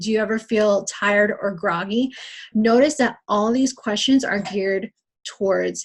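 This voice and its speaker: A woman speaks at a fairly slow pace in a fairly high pitch. Her voice is somewhat breathy, with ordinary pitch variation. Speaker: fitness coach leading team training. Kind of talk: training call.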